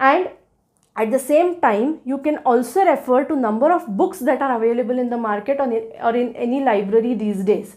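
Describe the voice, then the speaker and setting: Over a very clean recording with a silent background, a woman speaks at a high pitch with a Marathi accent, ordinary pitch variation and a fairly quick pace. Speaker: law educator. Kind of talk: tutorial. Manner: halting.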